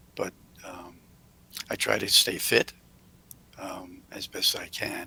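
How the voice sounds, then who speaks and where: A man whispers at a very slow pace. His loudness swings widely. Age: 80s+. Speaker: hotel owner and philanthropist. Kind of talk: interview Q&A. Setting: video call.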